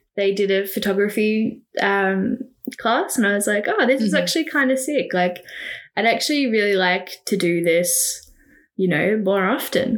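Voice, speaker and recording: Woman with an Australian accent, medium pitch, ordinary pitch variation, very even loudness, moderate pace. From Victoria, Australia (Riddells Creek, near Macedon). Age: 20s. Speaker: photographer. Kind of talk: casual chat. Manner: animated, laughing often.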